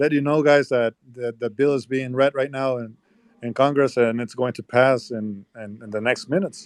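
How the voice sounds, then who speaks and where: The speaker moves at a fairly quick pace in a Spanish accent. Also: man. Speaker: politician's brother. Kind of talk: live audio chat. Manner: halting.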